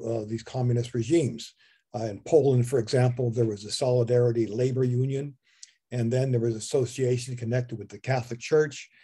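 A man's somewhat breathy, dark, mellow voice in monotone, flat intonation, over a quiet background. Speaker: presenter. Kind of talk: lecture. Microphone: video call.

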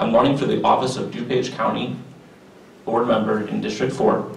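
A man's fairly low voice with vocal fry, at a fairly quick pace, in strong room echo

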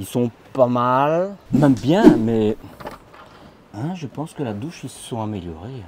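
Over light background noise, a man speaks at a very slow pace, the sound dry with no echo. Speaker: motorhome video blogger. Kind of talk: casual walkthrough commentary. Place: hall. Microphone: phone near.

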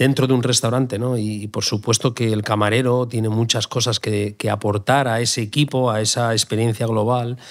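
The man's voice sits at a medium pitch. He talks fairly quickly. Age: 40s. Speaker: chef. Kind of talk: interview. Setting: live event venue. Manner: halting, frequent repetitions.

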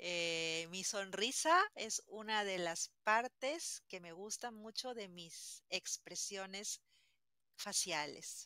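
The tone is bright and sharp, with big swings in loudness and ordinary pitch variation at a very slow pace. The sound is dry with no echo, over a quiet background. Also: woman. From Peru, Lima; Peru. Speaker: language teacher. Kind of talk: interview. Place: home room.

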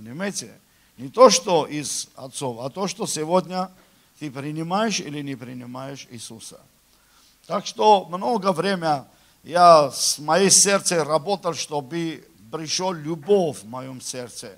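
Over a quiet background, the speech moves at a very slow pace with long, frequent pauses, big swings in loudness and lively intonation. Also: man, fairly high pitch for a man. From Armenia. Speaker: preacher. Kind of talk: sermon. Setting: church. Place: church.

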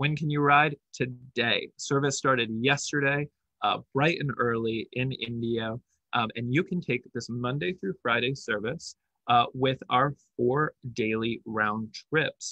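With a dry, echo-free sound and a quiet background, a man talks fairly slowly with ordinary pitch variation. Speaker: presenter. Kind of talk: presentation. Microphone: webcam.

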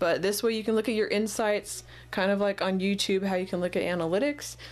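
A woman with an ordinary speaking voice talks at a fairly quick pace and a medium pitch, with ordinary pitch variation. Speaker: colored pencil artist. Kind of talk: video essay-style tutorial advice monologue. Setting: online video with voiceover while showing drawings.

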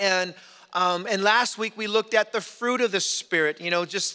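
A man speaks in a raised, projected voice with a bright, sharp tone. His intonation is fairly even, and the background is quiet. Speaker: pastor. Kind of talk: sermon. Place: church. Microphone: podium.

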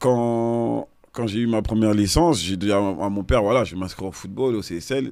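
Against a quiet background, a man speaks at a moderate pace with a dry sound and no echo. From Seine-Saint-Denis, Paris suburbs, France; Paris, France. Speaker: retired professional footballer; podcast guest. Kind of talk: casual interview. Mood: relaxed, reflective. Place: studio. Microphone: studio mic.

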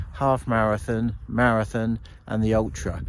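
The sound is dry with no echo. Light noise runs in the background. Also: man. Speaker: runner vlogger. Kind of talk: casual vlog chat. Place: open country. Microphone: phone near.

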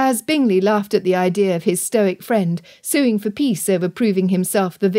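Here is an unforced reading voice. The pitch moves up and down in an ordinary way.

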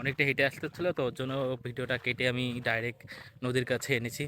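A man's bright, sharp voice holds a medium pitch with fairly even intonation. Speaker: vlogger. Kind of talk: casual vlog narration. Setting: outdoors, walking through fields to a river.

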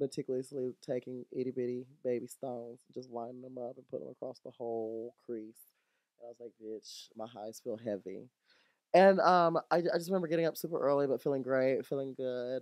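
Over a quiet background with a dry, echo-free sound, a man speaks at a fairly quick pace with ordinary pitch variation and big swings in loudness. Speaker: drag performer reviewing a season. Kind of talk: casual podcast storytelling. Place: home room. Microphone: studio mic.

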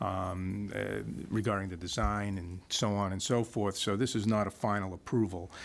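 A man speaks with a fairly low pitch and a monotone, flat intonation. His pace is moderate. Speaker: attorney representing a developer. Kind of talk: public hearing presentation. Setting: county meeting room. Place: meeting room. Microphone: podium.

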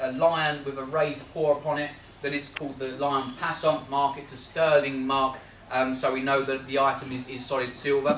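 A fairly high-pitched male voice with fairly even intonation and noticeable background noise. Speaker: auctioneer giving valuations at a Rotary talk. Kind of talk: valuing antiques for a live audience, talking to members.

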